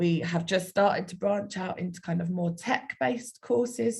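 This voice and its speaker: The speaker has a South London accent and a somewhat breathy voice. The pace is moderate, with ordinary pitch variation. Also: woman. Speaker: university outreach speaker. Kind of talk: online presentation.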